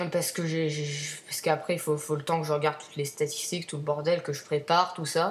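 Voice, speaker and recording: Putting on a character voice, a woman speaks hoarsely at a very fast pace with hardly any pauses, her pitch very deep and low and her intonation monotone and flat. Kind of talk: casual spoken French, streamer style.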